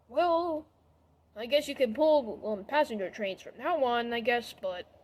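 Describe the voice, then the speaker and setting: Doing a put-on character voice, a woman speaks high in pitch at a moderate pace. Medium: read story.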